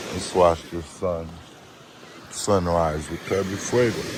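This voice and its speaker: Speaking at a very slow pace, a man with a very deep, low voice keeps his intonation fairly even, with audible room echo and noticeable background noise. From Haiti. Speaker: farmer and travel vlogger. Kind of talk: casual vlog narration. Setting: outdoors on a beach at sunrise.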